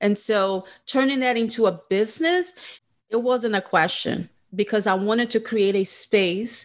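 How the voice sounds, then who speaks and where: On a very clean recording with a silent background, a woman with a Portuguese accent speaks at a fairly slow pace, at a medium pitch, with ordinary pitch variation. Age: 40s. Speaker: podcast host, esthetician. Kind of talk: casual interview chat.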